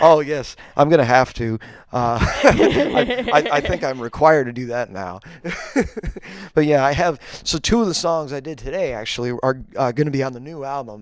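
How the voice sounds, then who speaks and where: A man with an American accent speaks at a fairly high pitch with ordinary pitch variation and big swings in loudness, over noticeable background noise. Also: moderate pace. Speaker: singer. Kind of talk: interview. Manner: halting, many fillers and repeats.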